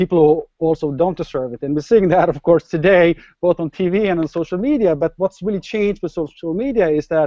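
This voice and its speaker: At a moderate pace, a man talks with a Norwegian accent. His voice is fairly high, with ordinary pitch variation. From Norway. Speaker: startup entrepreneur. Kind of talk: interview.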